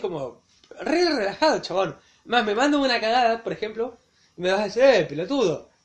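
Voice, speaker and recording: A man's extremely high voice at a fairly quick pace, with very wide pitch swings. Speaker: podcast co-host. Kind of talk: casual chat. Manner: animated.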